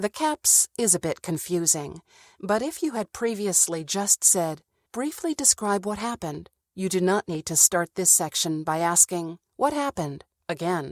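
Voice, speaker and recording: With an ordinary speaking voice, a woman talks at medium pitch and a moderate pace, her intonation lively. The recording is very clean with a silent background and a dry, close sound with no echo. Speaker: voice actor. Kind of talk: e-learning tutorial narration.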